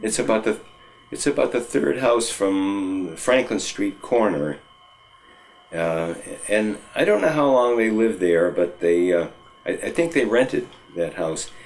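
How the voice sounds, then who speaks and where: Against music in the background, a man with an American accent talks fairly low and at a fairly slow pace, with long, frequent pauses. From New England, US (Northampton, Massachusetts). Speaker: oral history interviewee. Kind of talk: oral history interview. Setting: at home. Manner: halting, many fillers and restarts.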